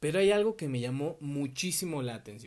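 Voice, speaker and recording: Here a man speaks in a Mexico City accent with a fairly high pitch. His intonation is lively. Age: 20s. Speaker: podcast host. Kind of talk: solo podcast monologue.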